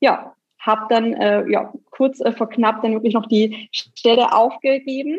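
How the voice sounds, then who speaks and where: A woman's fairly high voice, very slow in pace and fairly even in intonation. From Bavaria, near Nuremberg (Franconia). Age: 30s. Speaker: graphic designer. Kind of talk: interview.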